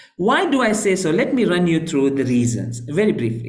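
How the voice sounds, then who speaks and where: Audible room echo surrounds a man's fairly high voice. His pitch swings very widely. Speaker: Islamic scholar and lecturer. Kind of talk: online lecture with slides.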